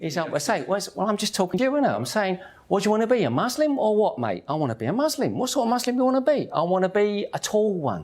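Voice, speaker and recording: A man with a Cockney accent and a high pitch talks at a very fast pace with hardly any pauses, his pitch swinging very widely. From East London, England (Hackney). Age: 50s. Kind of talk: personal testimony. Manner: animated.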